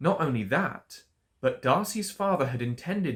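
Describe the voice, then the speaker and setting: An upbeat man with an RP accent sounds somewhat breathy, his pitch swinging very widely. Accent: Received Pronunciation. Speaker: English tutor. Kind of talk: storytelling book reading for learners. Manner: upbeat, expressive.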